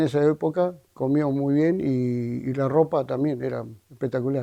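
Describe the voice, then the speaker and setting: A man with an Argentine accent and a dark, mellow tone speaks at a fairly slow pace. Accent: Argentine Spanish (rioplatense-pampeano). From Argentina, La Pampa (General Acha). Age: 60s. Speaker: retired townsman interviewee. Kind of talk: interview testimony. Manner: halting.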